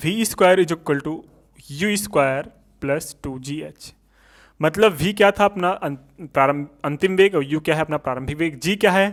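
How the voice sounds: Pitched fairly high for a man, his voice moves at a moderate pace and varies in pitch in an ordinary way.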